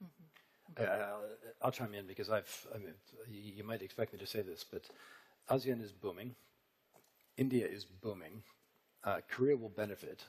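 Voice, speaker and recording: Speaking in an American accent, a man with a fairly low pitch keeps a moderate pace and ordinary pitch variation, with long, frequent pauses. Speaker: business panelist. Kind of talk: panel discussion.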